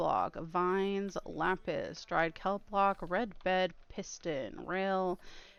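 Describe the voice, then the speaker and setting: A woman speaks at a very slow pace with a medium pitch. Her pitch variation is ordinary and the background is quiet. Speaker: streamer. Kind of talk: live gaming stream chat.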